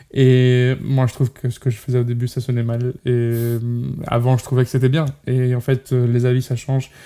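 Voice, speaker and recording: The tone is dark and mellow, delivered in a monotone, flat intonation. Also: man, medium pitch for a man, moderate pace. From Portugal. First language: Portuguese (speaking French). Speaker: singer and musician. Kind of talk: interview. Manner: halting, many fillers.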